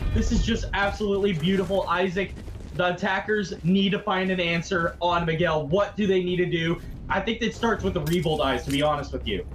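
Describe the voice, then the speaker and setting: The speech runs at a fairly quick pace with very even loudness. Noticeable background noise sits behind it. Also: man, high pitch for a man. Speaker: esports caster. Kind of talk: live commentary. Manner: animated.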